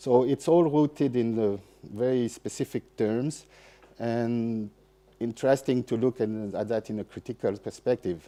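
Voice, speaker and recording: Dark and mellow in tone, a man speaks with a French accent at a moderate pace and ordinary pitch variation. The sound is dry and close, with no echo. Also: medium pitch for a man. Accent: French accent, apologizes for English. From France. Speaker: festival seminar speaker on soil and ecology. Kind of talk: lecture. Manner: halting, many fillers and restarts.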